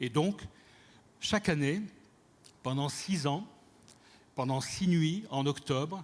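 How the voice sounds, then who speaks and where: Recorded very cleanly against a silent background, a man with a fairly high pitch and ordinary pitch variation speaks at a very slow pace in a somewhat breathy voice. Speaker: cultural director. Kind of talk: conference talk.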